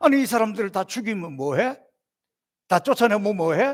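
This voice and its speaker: A man's high-pitched voice. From South Korea. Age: 60s. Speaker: pastor. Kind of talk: sermon.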